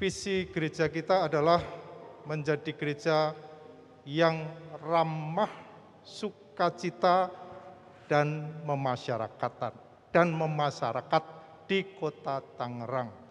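A man speaks at a very slow pace with a fairly high pitch. Long pauses come often. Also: ordinary pitch variation. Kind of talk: formal address. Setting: church with audience. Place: church.

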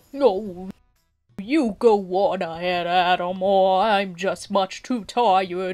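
Over music in the background, a woman does a put-on character voice at medium pitch and a very slow pace. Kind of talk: character dialogue performance. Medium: fan dub. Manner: whiny, lazy, fearful.

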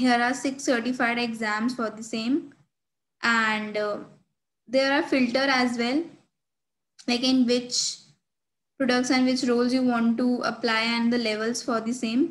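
In an Indian accent, the speaker talks at a fairly slow pace with long, frequent pauses. The intonation stays monotone and flat. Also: woman, high pitch for a woman. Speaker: student tech ambassador. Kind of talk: screen-share tutorial. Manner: hesitant, frequent fillers. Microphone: webcam.

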